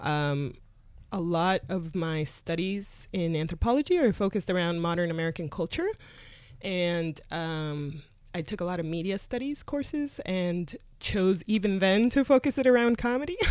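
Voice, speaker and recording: A woman with a Spanish accent speaks at a moderate pace and a medium pitch. Her intonation is lively, and the recording is very clean with a silent background. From Colombia. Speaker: comedy booker. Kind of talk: interview conversation. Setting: studio.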